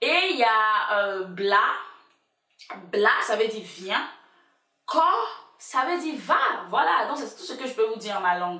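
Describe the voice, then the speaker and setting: A woman with a fairly high pitch speaks at a fairly slow pace, with very wide pitch swings and big swings in loudness. Long, frequent pauses break her speech, and audible room echo surrounds it. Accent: Ivorian. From Ivory Coast, Abidjan. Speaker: YouTuber. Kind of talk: casual vlog chat. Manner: animated.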